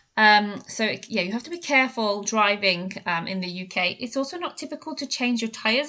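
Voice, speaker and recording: A woman speaks with a British accent at a fairly quick pace. Her medium-pitched voice has a bright, sharp tone. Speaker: English teacher. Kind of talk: podcast talk to learners.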